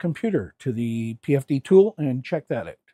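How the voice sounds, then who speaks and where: Recorded very cleanly against a silent background, with a dry, close sound and no echo, a man speaks in a fairly high voice with a dark, mellow tone. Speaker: diagnostic software demonstrator. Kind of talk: tutorial. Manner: halting, with fillers.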